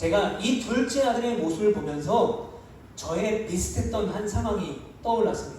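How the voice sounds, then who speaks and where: A man with a high pitch and an animated tone, at a moderate pace with ordinary pitch variation, amid audible room echo and noticeable background noise. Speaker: pastor. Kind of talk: sermon. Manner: animated storytelling.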